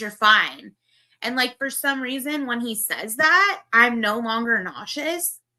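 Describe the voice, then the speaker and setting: In a Valley Girl accent, a woman talks at a fairly slow pace with a high pitch, a bright, sharp tone and big swings in loudness. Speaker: livestreamer. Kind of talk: casual chat.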